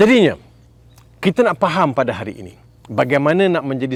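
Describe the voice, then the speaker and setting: This man speaks with a Malaysian accent. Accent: Malaysian Malay. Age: 60s. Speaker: Islamic preacher. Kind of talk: sermon.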